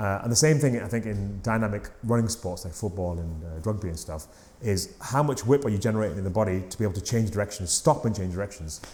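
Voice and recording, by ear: At a fast pace, a man talks in a fairly low pitch. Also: ordinary pitch variation, slightly mellow tone.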